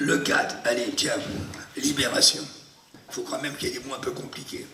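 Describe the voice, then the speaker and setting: A man speaks at a fairly quick pace with big swings in loudness. There is audible room echo and noticeable background noise. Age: 70s. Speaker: actor and memory performer. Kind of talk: masterclass demonstration. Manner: animated.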